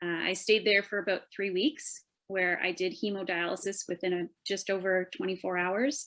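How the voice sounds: A woman talks at a moderate pace with a fairly low pitch. Her tone is fairly bright, and there is little pitch movement.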